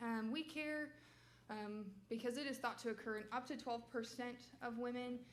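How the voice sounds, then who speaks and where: Audible room echo follows a woman who speaks loudly at a high pitch. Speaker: medical resident presenting research. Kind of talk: research presentation.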